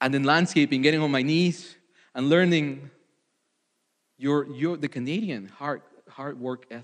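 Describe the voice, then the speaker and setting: A man speaks at a moderate pace with a Spanish accent. His pitch varies in an ordinary way, and he leaves long, frequent pauses. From Mexico. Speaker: ministry candidate preacher. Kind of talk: testimony; sermon. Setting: church. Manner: halting.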